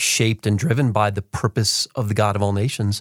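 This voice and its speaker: A man with fairly low pitch talks at a moderate pace in an ordinary speaking voice. The recording is very clean, with a silent background and a dry, close sound with no echo. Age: 40s. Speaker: podcast host and missions coach. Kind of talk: podcast interview. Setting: studio.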